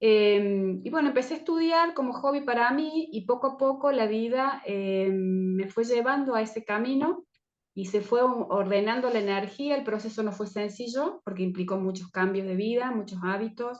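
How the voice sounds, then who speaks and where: A woman with an unremarkable speaking voice, pitched fairly high, talks at a moderate pace. Her intonation is lively, and she hardly pauses at all. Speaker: herbal medicine teacher. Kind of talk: online presentation talk. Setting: video call.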